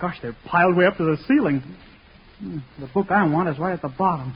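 A man does a put-on character voice, pitched high with a husky, rough edge and ordinary pitch variation. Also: fairly quick pace.

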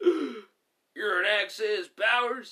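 Using a put-on character voice, a man speaks at a high pitch with lively intonation. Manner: shocked, exclaiming.

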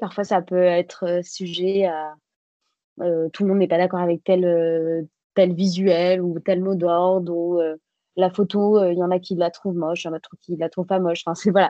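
A woman's ordinary speaking voice, fairly low in pitch, with fairly even intonation. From Bordeaux area, France. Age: 30s. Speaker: politician. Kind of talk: interview.

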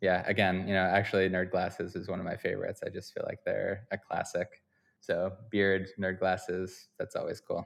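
Here is a man with an American accent. He talks at a moderate pace over a quiet background. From Vermont, US. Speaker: photographer and gallery founder. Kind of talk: interview.

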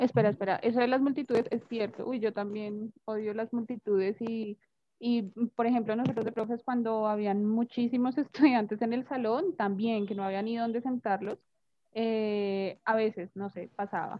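A woman speaks in an ordinary speaking voice, her fairly high pitch carried on fairly even intonation. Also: moderate pace. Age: 20s. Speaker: English teacher. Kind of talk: casual chat.

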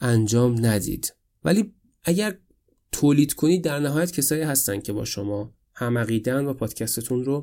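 This man has a dark, mellow tone and a medium pitch. His intonation is lively and his pace moderate. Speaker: podcaster. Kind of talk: solo podcast monologue. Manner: casual, conversational.

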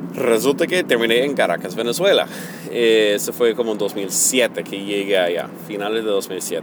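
With an American accent and ordinary pitch variation, a man speaks over noticeable background noise. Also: medium pitch for a man, moderate pace. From United States. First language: English (speaking Spanish). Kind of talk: personal testimony. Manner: halting, many fillers.

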